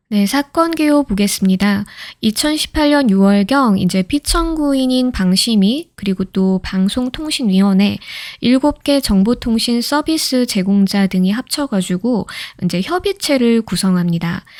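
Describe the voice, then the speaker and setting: A quiet woman with a calm tone and lively intonation talks fairly slowly at a fairly high pitch, her loudness very even, in a very clean recording with a silent background. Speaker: lawyer. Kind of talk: sleep-aid legal case reading. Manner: calm, quiet.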